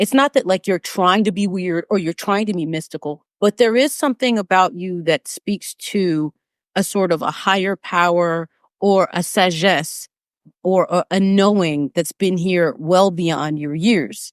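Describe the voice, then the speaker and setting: With an American accent, a woman with a plain, everyday voice speaks at a medium pitch and a fairly slow pace. Her pitch variation is ordinary, and the background is quiet. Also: dry, close sound with no echo. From United States. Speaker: vocal coach and podcast host. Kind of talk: interview conversation.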